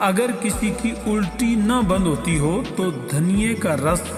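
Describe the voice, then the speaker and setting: A man talks while music plays in the background. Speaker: voice artist. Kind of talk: health tips narration.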